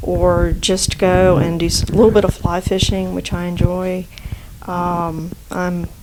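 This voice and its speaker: In a slight Southern US accent, a woman speaks at a fairly slow pace over noticeable background noise. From South Florida, Cuban family. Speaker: acupuncturist and physician. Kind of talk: podcast interview. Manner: halting, many fillers.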